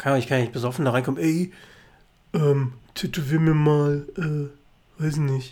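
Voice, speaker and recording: With a dark, mellow tone, this man speaks at a fairly high pitch. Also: ordinary pitch variation, fairly slow pace. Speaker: podcast co-host. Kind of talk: casual chat.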